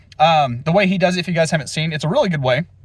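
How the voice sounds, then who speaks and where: A man's fairly high-pitched voice with an animated tone. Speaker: fitness vlogger. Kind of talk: casual vlog monologue. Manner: fast.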